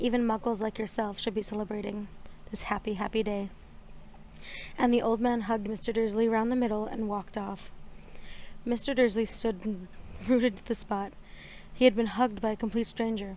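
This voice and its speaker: Soft-spoken, a woman with a dark, mellow tone and fairly high pitch speaks at a moderate pace in a monotone, flat intonation with long, frequent pauses. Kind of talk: audiobook reading.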